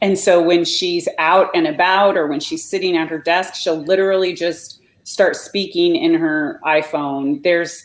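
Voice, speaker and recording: With a normal speaking voice, a woman talks at a moderate pace in a fairly low pitch, using ordinary pitch variation. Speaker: blogging coach. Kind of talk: live video interview.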